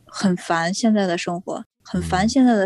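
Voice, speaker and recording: A woman's somewhat breathy voice comes through in a dry, close sound with no echo. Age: 20s. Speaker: young mother, social media creator. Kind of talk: interview.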